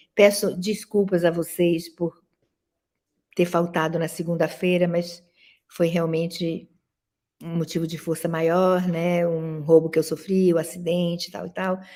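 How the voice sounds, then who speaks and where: Fairly slow, monotone, flat speech from a woman. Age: 70s. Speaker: professor and dance critic. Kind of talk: lecture.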